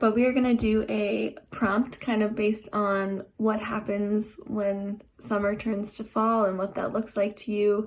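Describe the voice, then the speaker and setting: A woman talks with hardly any pauses at a fairly high pitch. Her intonation stays monotone and flat. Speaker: art therapist. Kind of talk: tutorial. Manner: hesitant with many fillers.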